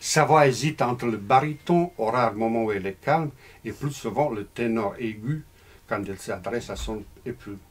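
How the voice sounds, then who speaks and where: This man speaks at a moderate pace. His pitch varies in an ordinary way. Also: medium pitch for a man. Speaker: novelist. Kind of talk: reading aloud; casual talk. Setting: bookshop with audience. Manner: halting.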